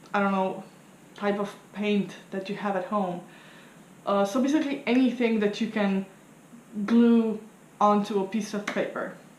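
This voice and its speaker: Audible room echo surrounds a woman of medium pitch who talks at a moderate pace with long, frequent pauses and fairly even intonation. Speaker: tarot reader and vlogger. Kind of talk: casual vlog explaining a study challenge. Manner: hesitant, many fillers.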